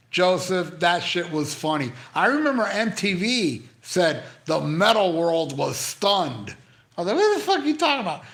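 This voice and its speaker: Room echo is audible as a man speaks in a high, animated voice with very wide pitch swings. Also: moderate pace. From Canada. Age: 60s. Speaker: YouTuber live streaming to chat. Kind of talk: casual live stream chat. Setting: live stream from hospital.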